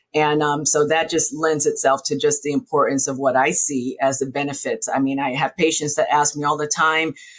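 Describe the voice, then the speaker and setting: A woman's very deep, low voice, flat and monotone, at a fairly quick pace with hardly any pauses, on a very clean recording with a silent background. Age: 60s. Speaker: gynecologist. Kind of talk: interview podcast.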